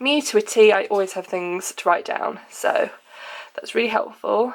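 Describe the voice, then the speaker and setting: This woman has a British accent and a fairly high pitch. She speaks at a moderate pace with ordinary pitch variation. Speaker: lifestyle blogger. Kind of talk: casual talk to camera.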